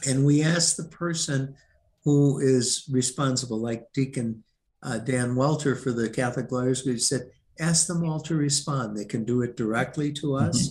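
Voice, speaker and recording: This man's voice is somewhat breathy and medium in pitch, with fairly even intonation at a moderate pace. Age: 70s. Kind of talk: interview.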